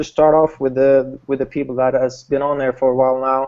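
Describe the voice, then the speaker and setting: A man talks with a Swedish accent. His intonation is monotone and flat. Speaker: online business host. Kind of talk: webinar hangout presentation. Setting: video call. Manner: halting, many repetitions.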